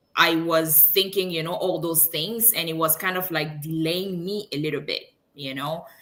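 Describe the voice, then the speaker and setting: In a French accent, a woman talks at a moderate pace with hardly any pauses, a fairly low pitch and fairly even intonation. Her tone is bright and sharp, and audible room echo surrounds it. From Congo, Kinshasa. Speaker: engineer and online business owner. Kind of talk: interview.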